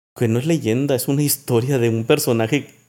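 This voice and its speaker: A man's ordinary speaking voice, fairly even in intonation, at a moderate pace. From Mexico, Sinaloa. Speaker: songwriter. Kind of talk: casual chat. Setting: at home.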